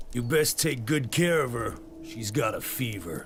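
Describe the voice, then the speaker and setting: Putting on a raspy character voice at a medium pitch, a man talks at a moderate pace with lively intonation against clear background noise. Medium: video game.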